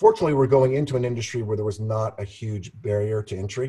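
The recording is very clean with a silent background. A man talks at a fairly quick pace in a dark, mellow, somewhat breathy tone with fairly even intonation. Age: 50s. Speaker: real estate entrepreneur. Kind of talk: interview.

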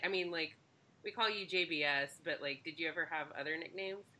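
A woman with an American accent at a fairly quick pace, ordinary pitch variation, and noticeable background noise. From Texas, later Ohio. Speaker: professor and podcast host. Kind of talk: casual chat.

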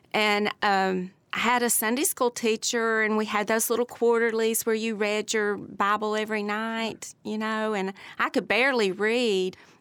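With a Tennessee accent, a woman speaks in a fairly high pitch and a monotone, flat intonation. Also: moderate pace, very clean recording, silent background. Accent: Southern US (Tennessee). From US South, Bristol, Tennessee. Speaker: retired city employee. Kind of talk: casual interview.

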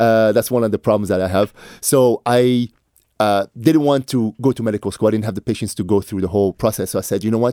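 A man with a French Canadian accent, very fast, with a dark, mellow tone and fairly low pitch, in a very clean recording with a silent background and a dry, close sound with no echo. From Montreal, Canada. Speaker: fitness entrepreneur and motivational speaker. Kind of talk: radio interview. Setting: radio studio. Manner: passionate, animated.

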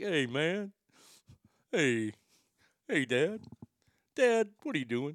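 A man's put-on character voice, fairly high in pitch, very slow, with long, frequent pauses. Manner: casual, chatty.

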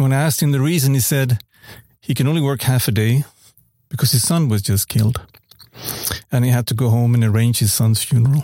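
A man's somewhat breathy, dark, mellow voice, medium in pitch with ordinary variation, at a fairly quick pace with very even loudness and long, frequent pauses. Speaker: photojournalist. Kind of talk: prepared personal reflection.

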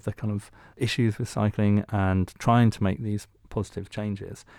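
In an ordinary speaking voice, a man talks at a fairly low pitch with ordinary pitch variation. The sound is dry and close with no echo, and the recording is very clean against a silent background. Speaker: podcast co-host. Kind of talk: interview.

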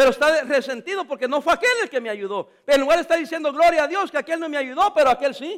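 A man's extremely high voice, very fast and lively, with hardly any pauses. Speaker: pastor. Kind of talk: sermon. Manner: halting.

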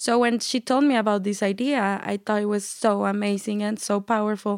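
A woman with a Mexican accent speaks at a moderate pace and a medium pitch, on a very clean recording with a silent background and a dry, close sound with no echo. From Chihuahua, Mexico. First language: Spanish. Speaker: entrepreneur. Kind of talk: interview. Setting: studio.

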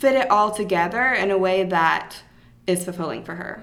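A woman's plain, everyday voice at a medium pitch, with ordinary pitch variation and a moderate pace. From Atlanta, US South. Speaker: podcast co-host and yoga festival organizer. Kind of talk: casual chat between co-hosts.

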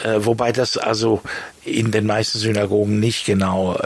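Over noticeable background noise, a fairly low-pitched man speaks at a moderate pace with fairly even intonation. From Switzerland, Bern. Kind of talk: interview. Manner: halting, with many fillers and repetitions.

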